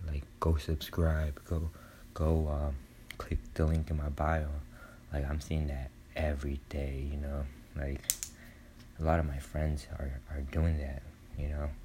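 Whispering, a soft-spoken man with a somewhat breathy voice talks at a fairly slow pace, leaving long, frequent pauses. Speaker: podcaster. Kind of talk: solo monologue, personal confession. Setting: dark room at home, poor audio quality. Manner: halting, hesitant, filler-heavy; soft-spoken, whispering.

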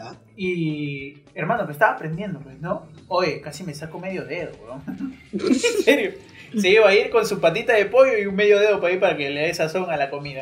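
High-pitched for a man, this voice has lively intonation and big swings in loudness. Audible room echo and noticeable background noise fill the recording. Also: moderate pace. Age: 20s. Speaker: podcast host. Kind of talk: casual chat.

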